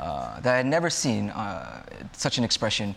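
A man with an American accent at a moderate pace. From Los Angeles, US. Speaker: speaker at church discussion group. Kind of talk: talk to a group.

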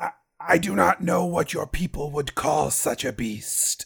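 A man does a raspy, put-on character voice at a fairly high pitch. He keeps a moderate pace, and the sound is dry and close with no echo. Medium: actual play. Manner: formal, stilted, no contractions.

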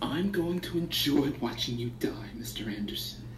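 Someone speaks in a put-on character voice at a moderate pace. Loud background noise runs underneath. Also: man, medium pitch for a man. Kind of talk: amateur radio-play reading. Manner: cold, menacing, deliberate.

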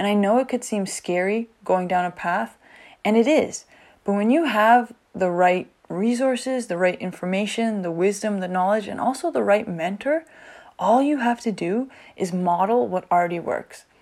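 A woman talks at a moderate pace in a plain, everyday voice, medium in pitch with lively intonation. The recording is very clean, with a silent background. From Canada. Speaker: podcast host, teacher. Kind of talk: solo podcast monologue.

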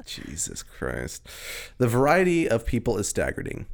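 A man's voice swings very widely in pitch and carries vocal fry. He talks at a fairly slow pace. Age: 20s. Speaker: podcast co-host. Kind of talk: casual chat. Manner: animated.

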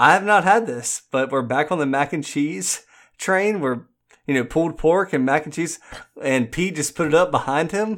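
Recorded very cleanly against a silent background, a man talks at a moderate pace with lively intonation. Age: 30s. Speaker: podcast co-host. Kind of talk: casual chat.

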